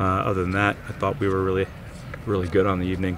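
The recording has a dry sound with no echo and noticeable background noise. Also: man. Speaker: head coach. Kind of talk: interview answer. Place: stadium.

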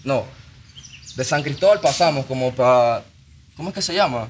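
There is light background noise behind the speaker. A man talks with ordinary pitch variation. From Venezuela, Maracaibo. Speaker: musician. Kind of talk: casual chat. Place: studio. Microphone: studio mic.

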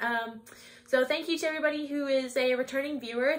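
A woman in a Canadian accent, high-pitched and fairly quick, with fairly even intonation. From Ontario, Canada. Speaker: knitting podcaster and yarn dyer. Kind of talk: casual podcast talk to camera. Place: shop.

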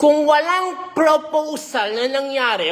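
A woman speaks in an animated tone at a fairly slow pace with ordinary pitch variation. Noticeable background noise is present. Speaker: celebrity gossip vlogger. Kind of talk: gossip commentary vlog.

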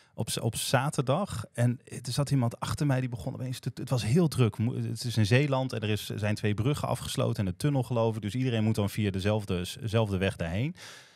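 The speech moves at a fairly quick pace with hardly any pauses and ordinary pitch variation, recorded with a dry sound with no echo against a quiet background. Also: man. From Groningen, Netherlands; Netherlands. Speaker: podcast host. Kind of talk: casual chat. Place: studio. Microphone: studio mic.

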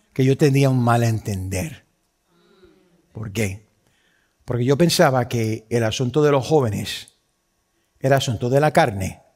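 A man with a Puerto Rican accent speaks at a fairly slow pace with ordinary pitch variation and long, frequent pauses over a quiet background. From Puerto Rico. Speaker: pastor. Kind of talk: sermon. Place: church.

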